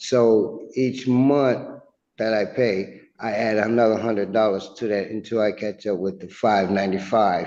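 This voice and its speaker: Audible room echo surrounds a man's fairly low, dark, mellow voice as he speaks at a fairly slow pace with fairly even intonation. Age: 60s. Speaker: tenant in eviction hearing. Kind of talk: court testimony. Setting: courtroom. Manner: halting.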